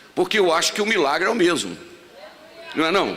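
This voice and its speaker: At a fairly quick pace, a man talks amid noticeable background noise and audible room echo. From Brazil, Minas Gerais. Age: 60s. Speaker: pastor. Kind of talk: sermon. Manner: conversational, humorous asides.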